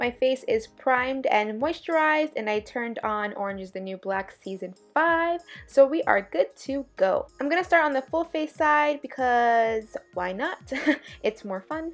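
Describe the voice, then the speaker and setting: Over music in the background, a woman with a high pitch speaks at a fairly slow pace, with very wide pitch swings. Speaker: beauty vlogger. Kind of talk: makeup tutorial voiceover.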